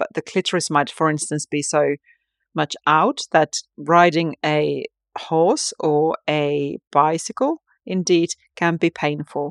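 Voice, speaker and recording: Speaking at a very slow pace with a Finnish accent, a woman with a fairly low pitch sounds dry and close, with no echo. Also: quiet background. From Finland. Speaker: tantric sex and relationship coach, podcast host. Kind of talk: solo podcast monologue, casual and personal. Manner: halting, with many fillers and restarts.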